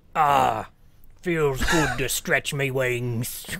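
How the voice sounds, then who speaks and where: A man adopts a put-on character voice pitched in his middle range. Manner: imitating a game character's voice lines.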